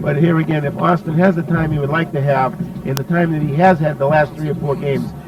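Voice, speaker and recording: A man at a fairly high pitch and very fast pace, with fairly even intonation and noticeable background noise. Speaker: sports commentator. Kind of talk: color commentary on a football broadcast.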